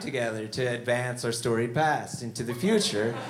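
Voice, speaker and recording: Noticeable background noise runs beneath a man who talks at a moderate pace. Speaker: stand-up comedian. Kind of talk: comedy show with banter.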